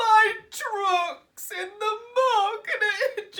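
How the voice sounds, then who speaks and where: Someone performs a put-on character voice at an extremely high pitch. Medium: read story. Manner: snappish.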